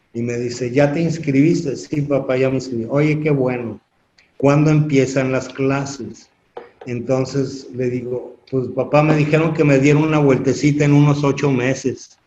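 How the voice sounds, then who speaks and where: This man's voice is fairly high in pitch, dark and mellow in tone, and somewhat breathy, delivered at a fairly slow pace. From Mexico City. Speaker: construction industry association president. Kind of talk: interview. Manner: animated storytelling.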